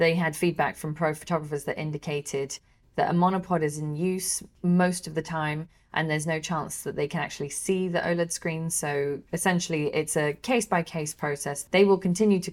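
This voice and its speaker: In a normal speaking voice, a woman talks at a fairly quick pace, her pitch fairly low and her intonation fairly even. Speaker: co-host, camera shop worker. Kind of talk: casual news roundup podcast.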